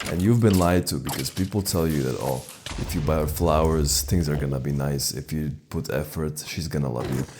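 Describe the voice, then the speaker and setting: A man with a non-native accent speaks at a very deep, low pitch with ordinary pitch variation. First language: not English. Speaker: dating advice YouTuber. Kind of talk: casual storytelling monologue. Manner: casual, conversational.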